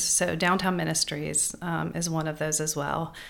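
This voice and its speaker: Vocal fry marks this woman's voice. She keeps a moderate pace. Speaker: boutique owner and charity fundraiser. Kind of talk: interview.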